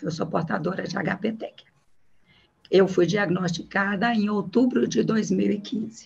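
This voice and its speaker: Speaking at a fairly slow pace, a woman uses a somewhat breathy, medium-pitched voice with ordinary pitch variation. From Minas Gerais, Brazil. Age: 60s. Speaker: patient. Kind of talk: testimony.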